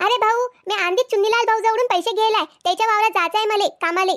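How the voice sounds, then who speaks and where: Squeaky and extremely high-pitched, a woman uses a cartoonish character voice at a fairly quick pace. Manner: rude, quick-witted.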